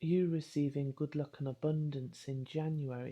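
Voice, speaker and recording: A woman with a British accent talks at a moderate pace in a very deep, low voice with ordinary pitch variation. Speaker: spiritual coach and card reader. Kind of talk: tarot card reading.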